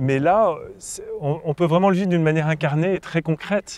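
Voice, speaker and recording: With lively intonation and a fairly high pitch, a man is heard in a dry, close sound with no echo. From France, Paris. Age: 60s. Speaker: farmer and author. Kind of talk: interview monologue. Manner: halting, many hesitations and repetitions.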